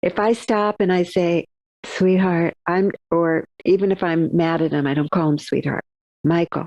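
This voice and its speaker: A woman speaks at a moderate pace in a fairly low voice, her loudness very even and the sound dry and close with no echo. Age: 60s. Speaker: author and therapist. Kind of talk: interview. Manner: animated.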